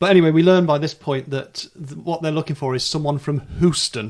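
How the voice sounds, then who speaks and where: With a northern English accent, a man talks at a fairly quick pace, his fairly high pitch showing ordinary pitch variation. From northern England. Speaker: podcast host. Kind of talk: casual chat.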